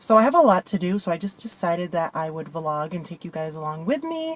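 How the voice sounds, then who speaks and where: Her voice is somewhat breathy. The woman speaks at a fairly quick pace. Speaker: lifestyle vlogger. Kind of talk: casual vlog. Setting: in a car.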